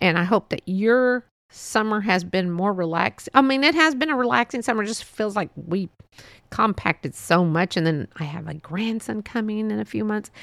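A woman with a fairly high pitch and a bright, sharp tone talks at a moderate pace with very wide pitch swings, recorded very cleanly against a silent background with a dry, close sound and no echo. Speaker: podcast host. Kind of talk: casual monologue. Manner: rambling, laughs often.

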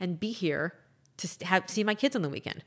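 A woman with a medium-pitched voice speaks in an energetic tone at a very fast pace with ordinary pitch variation, on a very clean recording with a silent background. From Miami. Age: 40s. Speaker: keynote speaker and author. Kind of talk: interview.

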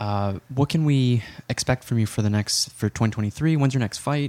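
Here a man has an ordinary speaking voice at a medium pitch with ordinary pitch variation. The sound is dry and close with no echo. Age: 30s. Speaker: podcast host, healthcare provider. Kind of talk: casual interview chat.

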